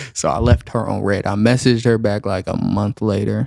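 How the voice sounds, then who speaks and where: A man with a fairly low pitch and an American accent, a dark, mellow tone and vocal fry, at a fairly quick pace, in a dry, close sound with no echo. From US South. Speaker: delivery driver. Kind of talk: casual chat.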